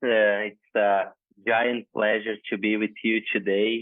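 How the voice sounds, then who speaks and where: This man talks at a fairly slow pace with a fairly low pitch. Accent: Brazilian. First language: Portuguese. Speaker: winemaker. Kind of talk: podcast interview.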